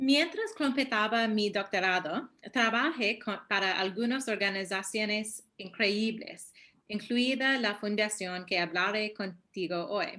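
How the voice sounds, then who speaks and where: A woman with a fairly high pitch speaks very slowly. Her tone is bright and sharp, with ordinary pitch variation. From US, New York. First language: English (speaking Spanish). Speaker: human rights statistician. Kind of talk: webinar presentation. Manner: halting.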